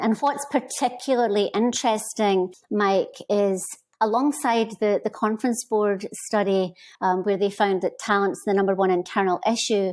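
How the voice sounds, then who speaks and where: A woman with a Scottish accent speaks at a moderate pace with a fairly high pitch, ordinary pitch variation, and very even loudness. The recording is very clean, with a silent background. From Scotland. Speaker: HR consultant. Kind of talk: interview.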